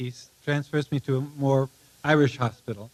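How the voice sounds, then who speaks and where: A man talks at a moderate pace in a medium pitch. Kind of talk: live monologue reading, autobiographical storytelling. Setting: live audience, theatre reading. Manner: conversational, hesitant with frequent fillers.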